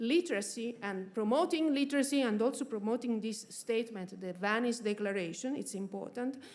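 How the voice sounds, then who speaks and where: A woman with an Italian accent talks at a moderate pace, her fairly high pitch showing ordinary variation. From Italy, Florence. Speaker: research institute official. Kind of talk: conference speech. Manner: halting, many fillers.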